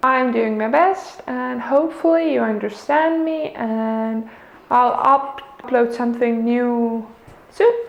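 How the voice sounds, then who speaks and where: Over noticeable background noise and audible room echo, a woman with a non-native accent speaks very slowly in a high pitch with ordinary pitch variation. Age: 20s. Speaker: vlogger. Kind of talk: casual vlog monologue. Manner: halting, many fillers.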